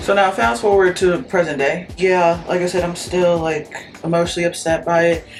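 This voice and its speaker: A woman speaks at a moderate pace in a fairly low pitch with ordinary pitch variation while music plays behind her. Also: hardly any pauses. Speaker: beauty vlogger and actress. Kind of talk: casual chat while doing makeup. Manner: rambling, filler-heavy casual speech.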